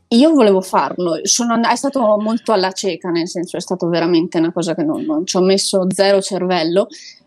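A woman talks at a fairly quick pace with hardly any pauses, in a normal speaking voice. Her intonation is lively. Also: medium pitch for a woman. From Italy. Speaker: expatriate volunteer worker. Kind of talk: casual interview.

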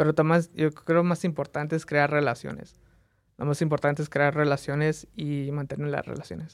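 A man talks at a moderate pace in a fairly high pitch. The intonation is monotone and flat. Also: very clean recording, silent background. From Las Vegas, Nevada (born in Mexico, moved at age 3). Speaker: photographer and content creator. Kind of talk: casual interview. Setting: studio.

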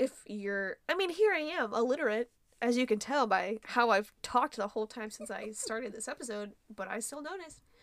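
A woman with a normal speaking voice, fairly high pitch, lively intonation, big swings in loudness and a fairly quick pace. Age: 20s. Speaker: podcast co-host. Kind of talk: casual chat.

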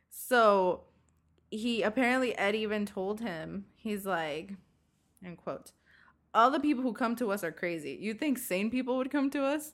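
An unremarkable speaking voice from a woman, fairly high in pitch, with lively intonation at a moderate pace, in a very clean recording with a silent background. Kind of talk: casual chat.

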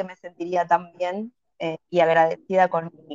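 Speaking at a fairly slow pace, a woman talks in an Argentine accent. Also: dry, close sound with no echo. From Argentina, Buenos Aires. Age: 40s. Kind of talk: interview.

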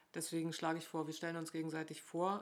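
The woman's pitch is fairly low. She speaks at a fairly quick pace. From northern Germany. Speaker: podcast host, local politician. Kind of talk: casual chat. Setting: kitchen table at home.

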